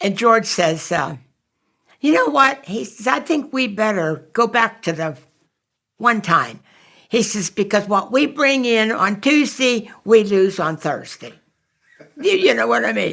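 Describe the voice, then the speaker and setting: A woman speaks at a fairly high pitch with very wide pitch swings and vocal fry. Her pace is very slow, broken by long, frequent pauses. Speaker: fire department auxiliary volunteer. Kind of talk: oral history interview answer.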